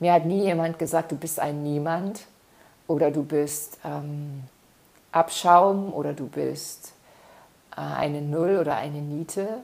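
A woman speaks very slowly in a very deep, low pitch with a warm tone and ordinary pitch variation. She takes long, frequent pauses. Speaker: self-development podcaster. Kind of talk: solo podcast monologue. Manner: warm, frequent filler sounds.

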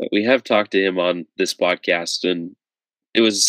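In a normal speaking voice, a man talks at a moderate pace with a fairly low pitch and fairly even intonation, the sound dry and close with no echo. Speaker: podcast host. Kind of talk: casual interview chat. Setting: video call.

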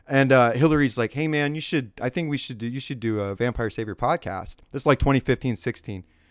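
A man with an American accent and an unremarkable speaking voice talks at a fairly quick pace with hardly any pauses, his medium pitch showing ordinary variation in a very clean recording with a silent background and a dry, close sound with no echo. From California. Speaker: podcast host. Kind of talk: casual chat.

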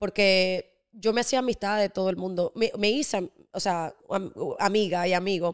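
A woman's normal speaking voice, medium in pitch with ordinary pitch variation, at a fairly slow pace, on a very clean recording with a silent background and a dry, close sound with no echo. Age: 20s. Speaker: entrepreneur and influencer. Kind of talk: casual chat.

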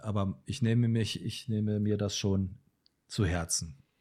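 Somewhat breathy and fairly low-pitched, this man's voice has a dark, mellow tone. His pitch moves in an ordinary way, and the recording is very clean with a silent background. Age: 50s. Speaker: photographer and musician. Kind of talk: casual chat.

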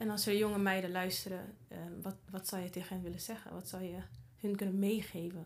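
Over noticeable background noise and audible room echo, a woman speaks fairly quickly with monotone, flat intonation. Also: medium pitch for a woman. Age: 30s. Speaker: podcast host. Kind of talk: casual interview chat; promotional outro.

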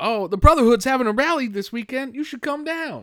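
In a very clean recording with a silent background, a man talks in an animated tone. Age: 30s. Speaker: podcast host. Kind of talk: casual chat.

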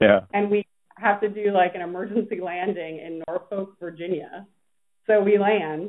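This woman has an unremarkable speaking voice. She talks at a moderate pace with fairly even intonation. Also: medium pitch for a woman. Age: 30s. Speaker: PR agency founder and CEO. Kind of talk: interview.

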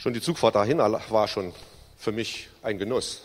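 A man with an unremarkable speaking voice talks at a fairly low pitch. His pitch varies in an ordinary way. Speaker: recovered alcoholic giving testimony. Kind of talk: testimony. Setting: church service.

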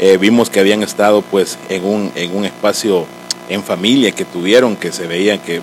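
A man with a fairly low pitch and a Salvadoran accent, over noticeable background noise. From El Salvador. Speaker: podcast host, church member. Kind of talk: casual interview chat.

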